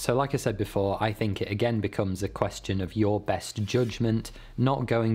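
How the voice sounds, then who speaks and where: Using a plain, everyday voice, a man talks at a moderate pace with a fairly low pitch and fairly even intonation. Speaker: YouTuber. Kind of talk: storytelling vlog with explanations. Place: home room.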